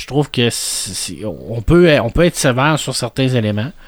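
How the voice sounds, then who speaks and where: Speaking at a moderate pace, a man with an unremarkable speaking voice uses lively intonation at a medium pitch. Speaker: podcast co-host. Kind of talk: casual chat. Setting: studio.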